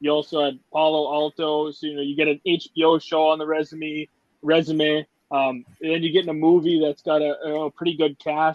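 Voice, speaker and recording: A man with an Upper Midwest accent talks at a fairly high pitch. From Upper Michigan, US Midwest. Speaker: podcast host. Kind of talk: casual interview chat.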